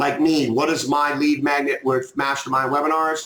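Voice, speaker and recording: There is audible room echo as a man speaks at a moderate pace. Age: 50s. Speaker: online marketing trainer. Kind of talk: tutorial. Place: home room. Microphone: webcam.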